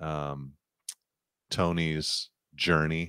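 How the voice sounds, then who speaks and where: On a very clean recording with a silent background and a dry, close sound free of echo, a man talks with fairly even intonation. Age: 40s. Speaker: podcast co-host. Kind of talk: reading aloud; casual chat.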